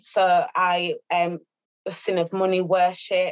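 Over a quiet background, a speaker with a Birmingham accent talks in a monotone, flat intonation. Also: woman. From Birmingham, England. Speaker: domestic abuse practitioner. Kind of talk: testimony. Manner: halting. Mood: earnest, emotional confession. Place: home room. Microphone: video call.

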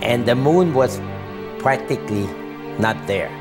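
A man talks with clear music behind him. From Germany. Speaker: Holocaust survivor. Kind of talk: interview answer. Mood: earnest, vivid recollection. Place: home room.

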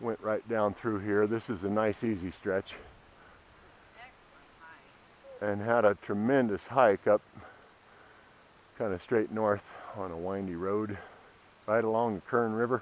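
A man's fairly low voice keeps a fairly even intonation. The sound is dry with no echo, and he leaves long, frequent pauses. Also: fairly slow pace. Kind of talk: casual vlog chat. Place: bicycle. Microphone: camera far.

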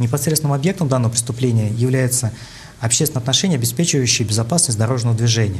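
The speaker is a man talking at a very fast pace. His pitch variation is ordinary. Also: medium pitch for a man, very even loudness. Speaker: deputy prosecutor. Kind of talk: TV studio interview. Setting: TV studio. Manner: formal; halting. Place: studio. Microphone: lapel.

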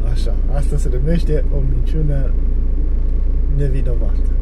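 A man speaks at a very slow pace. Loud background noise fills the clip. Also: dry sound with no echo. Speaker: driver vlogger. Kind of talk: casual vlog chat. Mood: cheerful, joking. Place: car. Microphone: phone near.

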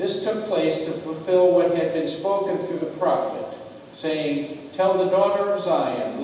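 A man with a high voice and ordinary pitch variation is heard through strong room echo and light background noise. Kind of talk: scripture reading. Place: church.

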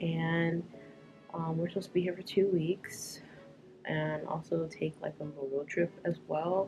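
Over music in the background, a woman talks in a very deep, low pitch with a monotone, flat intonation. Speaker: vlogger. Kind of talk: casual vlog chat. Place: home room. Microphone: camera far.

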